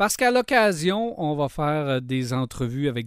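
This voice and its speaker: The recording is very clean with a silent background. A man speaks at a very slow pace with ordinary pitch variation. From Quebec, Lac-Saint-Jean. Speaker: podcast host. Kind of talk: interview.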